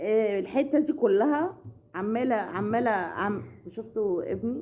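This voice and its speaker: Lively intonation from a woman at a fairly high pitch. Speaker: family vlogger. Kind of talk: casual vlog chat. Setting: at home. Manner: loud; halting.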